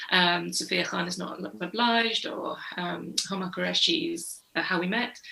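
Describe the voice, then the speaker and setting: A woman talks fairly slowly, and room echo is audible. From northern England, Bradford. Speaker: crime novelist, former journalist. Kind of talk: panel discussion. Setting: online event.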